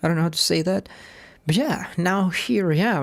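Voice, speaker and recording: In a very clean recording with a silent background, a woman with a non-native accent speaks at a moderate pace and a fairly low pitch. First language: not English. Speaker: software developer streaming coding. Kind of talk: live coding stream. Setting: live stream. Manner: halting, many repetitions and fillers.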